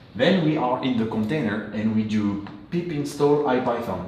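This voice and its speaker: With a French accent, a man talks at a fairly slow pace and a medium pitch with ordinary pitch variation, amid audible room echo and noticeable background noise. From France. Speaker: software engineer, conference speaker. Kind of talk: technical talk. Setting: meetup with audience. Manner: hesitant, many fillers.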